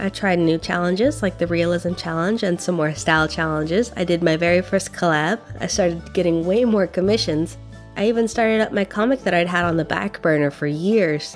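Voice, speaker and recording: Music plays behind a woman with a fairly low pitch and ordinary pitch variation. She talks at a fairly quick pace, her loudness very even. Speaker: artist and art student. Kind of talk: casual talk to camera.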